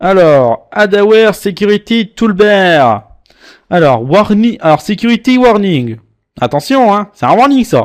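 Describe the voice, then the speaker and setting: A man's high, playful voice in an Alsatian accent, with very wide pitch swings. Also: very clean recording, silent background. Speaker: antivirus reviewer. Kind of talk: screen-recorded software tutorial. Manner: casual, playful.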